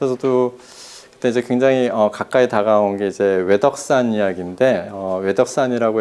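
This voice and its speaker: This man talks at a moderate pace with a fairly low pitch and fairly even intonation. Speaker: soil scientist professor, book author. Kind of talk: talk to an audience. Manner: hesitant, many fillers.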